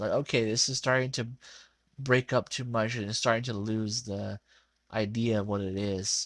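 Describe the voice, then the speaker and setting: The speaker is a man. The recording is very clean, with a silent background. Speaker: digital artist narrating drawing video. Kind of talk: casual voiceover commentary. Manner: rambling, halting with many fillers.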